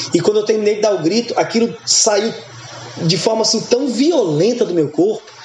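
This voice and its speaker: A high-pitched man with lively intonation, over noticeable background noise. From Goiás, Brazil (born Goiânia), raised largely in Northeast Brazil. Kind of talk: casual interview chat.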